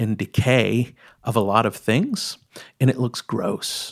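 A man speaks at a very slow pace with a medium pitch and vocal fry. The recording is very clean, with a silent background. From East Texas. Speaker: storyteller and collector. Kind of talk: casual interview conversation. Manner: hesitant with fillers and repetitions.

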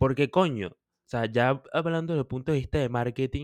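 Recorded very cleanly with a silent background, a man with a Venezuelan accent comes across dry and close, with no echo. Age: 20s. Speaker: podcast co-host. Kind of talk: casual chat.

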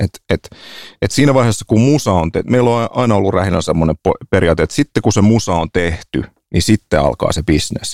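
With a normal speaking voice, a man talks at a fairly quick pace, his loudness very even and the sound dry and close with no echo. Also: fairly low pitch for a man, lively intonation. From Finland, Helsinki (Herttoniemi). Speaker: podcast host. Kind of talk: casual chat.

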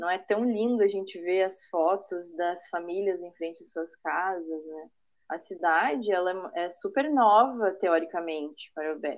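A woman's plain, everyday voice at medium pitch, fairly slow, with ordinary pitch variation and big swings in loudness. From Parobé, Rio Grande do Sul, Brazil. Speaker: architect. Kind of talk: casual interview.

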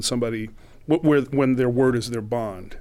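Speaking in an unremarkable speaking voice, a man keeps a medium pitch and fairly even intonation. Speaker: sound professional. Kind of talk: interview.

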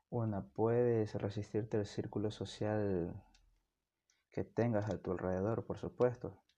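Over a quiet background, the voice moves at a fairly slow pace with a dark, mellow tone and monotone, flat intonation. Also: man, fairly low pitch for a man. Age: 20s. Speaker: university student and amateur podcaster. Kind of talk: solo monologue podcast.

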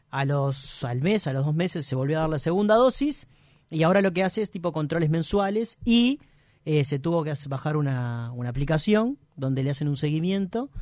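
This man talks at a moderate pace with lively intonation and a fairly high pitch. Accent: Uruguayan. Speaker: radio comedy host. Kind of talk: casual radio chat.

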